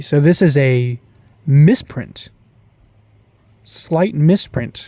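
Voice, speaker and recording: With a dark, mellow tone, a man speaks at a fairly high pitch and sounds somewhat breathy. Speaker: card collector YouTuber. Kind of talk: casual pack-opening commentary. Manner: stuttering from excitement.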